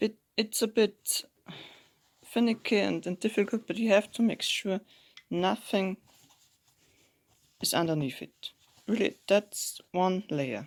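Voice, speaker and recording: A non-native accent is heard. The speaking pace is moderate. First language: not English. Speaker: home sewist. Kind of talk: sewing tutorial talk. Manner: casual.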